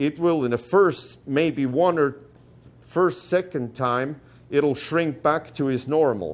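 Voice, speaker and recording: Speaking very slowly with a non-native accent, a man uses a fairly high pitch and ordinary pitch variation. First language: not English. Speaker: rawhide braider. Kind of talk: tutorial talk. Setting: workshop gathering with audience. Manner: halting.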